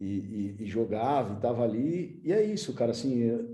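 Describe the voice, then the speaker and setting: With a dark, mellow tone and medium pitch, a man speaks at a moderate pace. Audible room echo surrounds his voice. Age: 30s. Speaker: futsal club manager, former player. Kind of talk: conference talk. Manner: casual, slangy.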